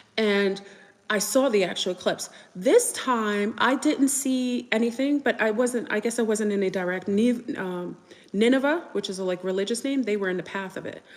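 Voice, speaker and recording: A woman speaks at a moderate pace. Her pitch is fairly high with ordinary variation. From United States. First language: French. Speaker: live streamer / conspiracy talk host. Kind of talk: casual livestream talk. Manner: casual, hesitant with fillers.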